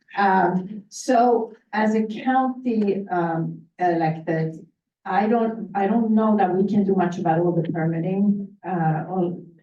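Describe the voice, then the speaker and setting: Woman at a very slow pace and medium pitch, with ordinary pitch variation, very even loudness, hardly any pauses and audible room echo. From Sweden. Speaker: county legislator. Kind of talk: panel discussion.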